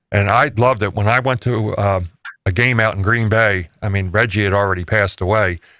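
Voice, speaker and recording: Recorded very clean with a silent background and a dry, close sound with no echo, a man with an unremarkable speaking voice talks at a moderate pace with a fairly low pitch and fairly even intonation. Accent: American. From New Jersey, US. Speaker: live show host. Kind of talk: casual chat. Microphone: audio sounding good.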